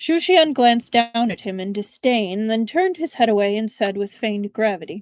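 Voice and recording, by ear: With lively intonation, this passage is read aloud in a natural voice.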